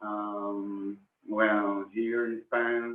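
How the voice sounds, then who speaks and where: Speaking very slowly in a Spanish accent, a man keeps a fairly low pitch and a monotone, flat intonation. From Argentina. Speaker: professional musician. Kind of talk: interview in second language. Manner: halting.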